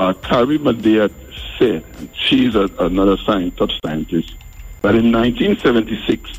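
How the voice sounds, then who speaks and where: A man at a very slow pace and very even loudness, music in the background. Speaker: pastor, caller. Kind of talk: call-in argument. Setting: phone call.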